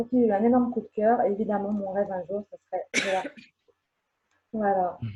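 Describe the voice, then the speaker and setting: A woman at medium pitch speaks fairly quickly with fairly even intonation, a somewhat breathy quality, and long, frequent pauses. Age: 40s. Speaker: fan. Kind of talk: casual chat.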